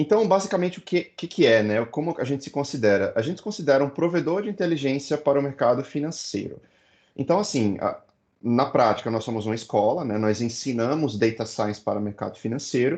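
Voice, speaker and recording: Against a quiet background, a man with a fairly high voice talks at a fairly quick pace, his pitch swinging very widely. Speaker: data science educator, founder of a school. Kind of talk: online lecture. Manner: fast.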